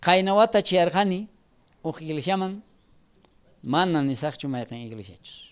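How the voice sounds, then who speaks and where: A man talks at a high pitch with very wide pitch swings. The recording is very clean, with a silent background. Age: 70s. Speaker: preacher. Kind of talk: sermon.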